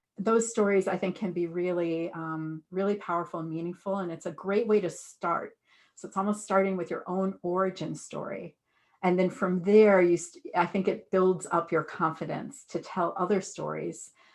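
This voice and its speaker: A woman's monotone, flat-intoned voice at a moderate pace, over a quiet background. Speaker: public speaking trainer. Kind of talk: workshop panel answer. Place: home room. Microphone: webcam.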